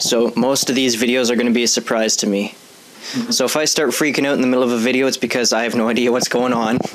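Against noticeable background noise, a man with a medium pitch speaks very fast, with very even loudness and hardly any pauses. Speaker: gaming commentator. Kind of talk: casual gameplay commentary. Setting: home recording with microphone. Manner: animated.

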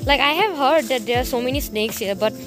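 Clear music sounds in the background as a woman talks at a moderate pace. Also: dry sound with no echo. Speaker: vlogger. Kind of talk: casual vlog chat. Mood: startled, excited by snake. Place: garden. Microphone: phone near.

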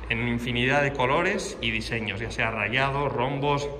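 A man at a fairly slow pace with fairly even intonation, over light background noise. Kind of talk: tutorial walkaround commentary. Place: garage. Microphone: phone near.

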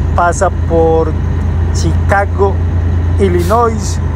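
A man is speaking. The sound is dry with no echo, though there is noticeable background noise. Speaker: truck driver vlogger. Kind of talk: casual vlog chat. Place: car. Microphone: phone near.

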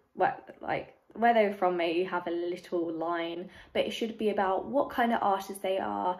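A woman with a London accent and fairly even intonation. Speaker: youtuber. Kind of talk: tutorial. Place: home room. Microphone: phone near.

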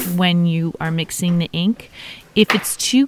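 A woman has an ordinary speaking voice, fairly low in pitch, moving at a fairly slow pace in a dry sound with no echo and light background noise. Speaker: teacher. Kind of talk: tutorial.

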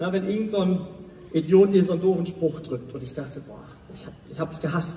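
An animated man at a fairly quick pace, with audible room echo. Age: 20s. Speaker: motivational speaker. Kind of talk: motivational talk. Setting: stage with audience. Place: stage.

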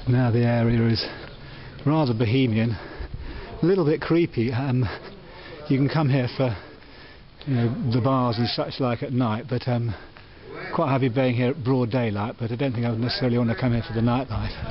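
Against noticeable background noise, a man talks at a fairly quick pace with ordinary pitch variation and very even loudness. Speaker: travel vlogger. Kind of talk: casual vlog chat. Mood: wry, slightly uneasy. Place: street. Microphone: phone near.

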